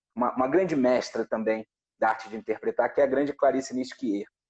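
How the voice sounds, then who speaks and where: Dry and close with no echo, a man's dark, mellow voice moves at a fairly quick pace, fairly high in pitch with ordinary variation. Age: 40s. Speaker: actor and producer. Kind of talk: casual chat. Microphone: audio cutting out at first.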